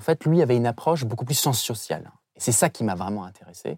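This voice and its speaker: A very clean recording, silent in the background, at a fairly quick pace. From Saint-Pierre-et-Miquelon. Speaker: semiologist and political communication expert. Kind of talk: interview.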